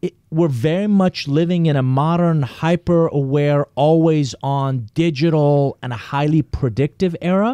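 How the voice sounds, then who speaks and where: With a dark, mellow tone, a man talks with ordinary pitch variation and hardly any pauses in a dry, close sound with no echo. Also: fairly slow pace. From Iran. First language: Persian. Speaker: business consultant and author. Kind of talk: interview.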